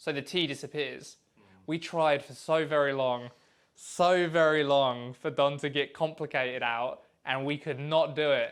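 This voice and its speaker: A man with a southern British accent speaks at fairly high pitch and a fairly slow pace. The recording is very clean with a silent background. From England. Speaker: animator and voice actor. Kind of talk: casual commentary chat. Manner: animated.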